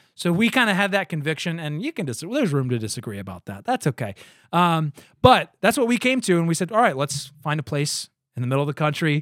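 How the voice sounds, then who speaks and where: On a very clean recording with a silent background and a dry, close sound with no echo, a man talks very fast at a fairly high pitch, his voice making very wide pitch swings. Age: 30s. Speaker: podcast host and former church planter. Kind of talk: casual chat.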